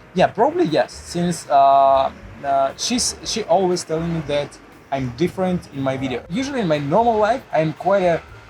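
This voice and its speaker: A man speaks at a high pitch and a moderate pace with lively intonation. Noticeable background noise runs behind him. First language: Russian. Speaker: puzzle YouTuber. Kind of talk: casual interview chat. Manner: halting, many fillers.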